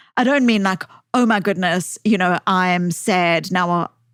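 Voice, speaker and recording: Recorded dry and close with no echo on a very clean, silent background, a woman speaks with lively intonation in a South African accent. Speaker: author, psychologist. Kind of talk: podcast interview. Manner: hesitant, repeats words.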